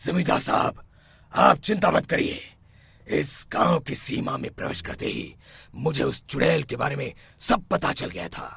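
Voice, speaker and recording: A raspy, cartoonish character voice from a man, fairly high-pitched, at a moderate pace. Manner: authoritative.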